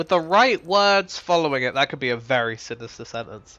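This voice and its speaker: A man with a British accent, lively intonation and a moderate pace. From Britain. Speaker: game streamer. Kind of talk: live gameplay commentary. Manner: casual, rambling.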